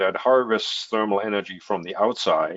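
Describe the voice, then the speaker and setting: Pitched fairly low, a man with a German accent shows ordinary pitch variation. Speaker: heat pump company representative. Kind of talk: webinar Q&A answer. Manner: hesitant with many fillers.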